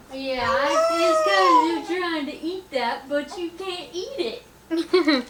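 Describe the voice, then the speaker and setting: A woman with an extremely high pitch talks very slowly, her intonation lively. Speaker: family vlogger. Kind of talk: casual vlog chat. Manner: whispering; baby talk.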